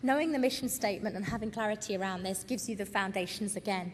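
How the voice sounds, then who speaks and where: A woman's fairly high voice with a British accent and ordinary pitch variation. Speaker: retail consultant. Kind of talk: conference presentation. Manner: fast.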